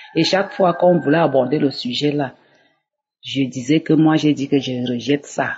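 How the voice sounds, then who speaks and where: At a fairly slow pace, a woman talks with a very deep, low pitch. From Cameroon. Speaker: church member giving testimony. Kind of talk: testimony.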